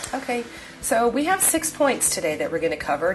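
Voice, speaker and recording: With noticeable background noise, a woman with an American accent and a fairly high pitch speaks at a very fast pace, her pitch swinging very widely. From New York. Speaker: real estate investor and educator. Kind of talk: seminar presentation. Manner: direct, emphatic.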